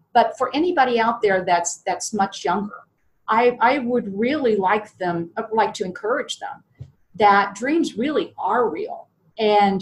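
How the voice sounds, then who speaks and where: A woman with an American accent, fairly high-pitched and somewhat breathy, with lively intonation at a fairly slow pace. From US Midwest, southern Ohio. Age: 60s. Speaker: podcast guest, IT salesperson and business owner. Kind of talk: interview.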